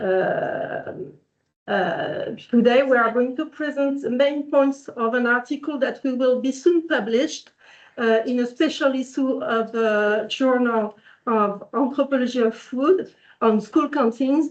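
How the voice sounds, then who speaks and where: Speaking at a very slow pace, a woman with a French accent has a high pitch that varies in an ordinary way. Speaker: researcher. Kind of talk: conference presentation. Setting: workshop room with in-person and online audience. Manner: halting.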